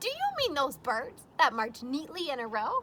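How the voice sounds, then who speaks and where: A woman performs a put-on character voice, loud and high-pitched at a moderate pace. Clear background noise is heard behind her. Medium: read story. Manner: loud, hearty.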